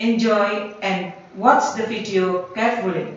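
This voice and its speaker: A woman speaks very slowly with a Javanese accent, at a medium pitch with ordinary pitch variation. Audible room echo and noticeable background noise are present. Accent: Indonesian (Javanese) English. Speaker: English teacher. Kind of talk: lesson for students.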